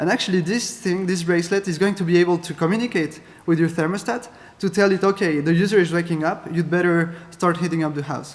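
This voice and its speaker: A man's high pitch at a very fast pace, with a French accent. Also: fairly even intonation. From France. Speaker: keynote speaker, data scientist. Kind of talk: conference keynote. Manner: halting, many fillers.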